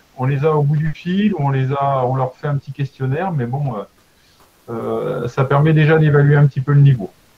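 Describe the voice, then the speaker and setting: This man's voice is fairly high. He keeps to a moderate speed. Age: 60s. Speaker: mountain leader trainer. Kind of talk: lecture. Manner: halting; animated.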